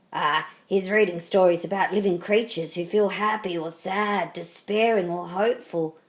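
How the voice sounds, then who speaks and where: A woman puts on a raspy character voice at a medium pitch. Her intonation stays fairly even. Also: moderate pace. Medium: read story.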